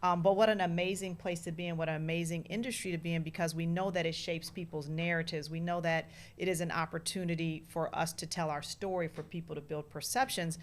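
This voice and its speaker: A woman with an American accent speaks at a fairly low pitch in a monotone, flat intonation. Her pace is very fast, with hardly any pauses. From Oakland, California. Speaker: media executive. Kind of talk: interview.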